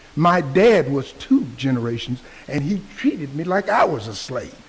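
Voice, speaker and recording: A man with an American accent, fairly slow in pace, with very wide pitch swings and noticeable background noise. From Texas, Fort Worth. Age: 70s. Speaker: public commenter, Vietnam veteran. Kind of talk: public comment at county meeting.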